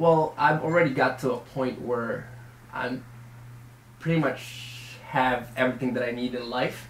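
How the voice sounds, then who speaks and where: At a fairly slow pace, a man of medium pitch speaks with fairly even intonation in a room with audible echo and noticeable background noise. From Philippines, moved to Chicago at 10-11. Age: 20s. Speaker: entrepreneur being interviewed. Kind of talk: interview.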